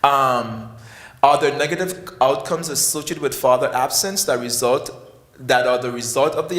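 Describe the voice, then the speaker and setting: Amid noticeable background noise and audible room echo, a man speaks at a fairly quick pace with a fairly high pitch and lively intonation. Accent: West Indian. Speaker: psychiatry professor. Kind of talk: conference talk. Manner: halting.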